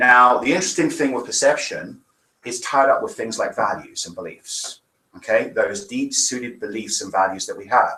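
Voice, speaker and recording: The man speaks with an English accent. His loudness swings widely. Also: moderate pace. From England. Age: 40s. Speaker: minister. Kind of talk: sermon.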